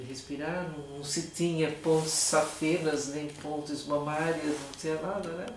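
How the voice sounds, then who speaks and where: A woman speaks at a very deep, low pitch in a monotone, flat intonation and at a fairly slow pace. Noticeable background noise and audible room echo are present. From Brazil, Tatuí (São Paulo state). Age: old. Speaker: retired teacher. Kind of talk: interview, personal memories.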